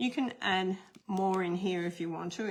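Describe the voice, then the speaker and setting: A woman's fairly low-pitched voice with an Australian accent. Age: old. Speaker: card-making instructor. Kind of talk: tutorial. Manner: casual, chatty.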